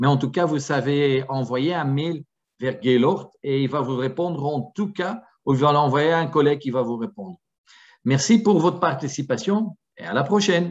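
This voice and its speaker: A man with a Flemish accent, fairly high-pitched, at a moderate pace. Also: lively intonation. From Flanders, Antwerp. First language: Dutch (Flemish) (speaking French). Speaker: product presenter for a security camera company. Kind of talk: webinar presentation. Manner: halting, with many fillers.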